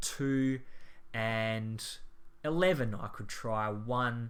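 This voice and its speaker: A man speaks with an Australian accent and ordinary pitch variation. Audible room echo surrounds his voice. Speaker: maths teacher. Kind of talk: tutorial.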